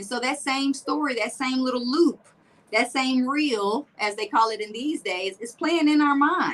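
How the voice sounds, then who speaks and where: American accent at a fairly slow pace, with ordinary pitch variation and noticeable background noise. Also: woman, high pitch for a woman. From US South, Tampa and Nashville. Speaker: motivational speaker and wellness coach. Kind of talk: interview chat. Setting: livestream interview.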